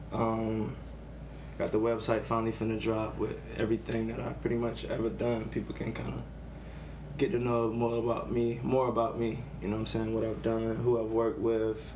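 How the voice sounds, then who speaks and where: A man with an American accent talks at a moderate pace in a medium pitch, his intonation fairly even, with audible room echo. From Savannah, Georgia. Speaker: artist and designer. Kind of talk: casual chat.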